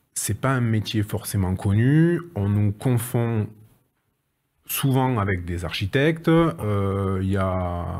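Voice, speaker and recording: Over a silent background in a very clean recording, a man with a southern French accent talks very slowly at a fairly low pitch, his intonation lively. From southwest France (Agen, Lot-et-Garonne). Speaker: renovation project manager. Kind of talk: interview. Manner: hesitant, many fillers and repetitions.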